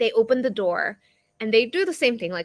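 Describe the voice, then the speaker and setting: A woman talks with a Korean accent at a fairly high pitch. The sound is dry and close, with no echo. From South Korea, moved to Colorado at 11. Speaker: performance coach. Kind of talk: interview conversation. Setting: live stream video call. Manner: conversational, many fillers.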